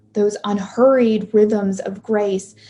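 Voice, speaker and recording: The voice belongs to a woman and has a dark, mellow tone. It is somewhat breathy, with fairly even intonation. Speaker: pastoral minister. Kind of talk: sermon. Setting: video call.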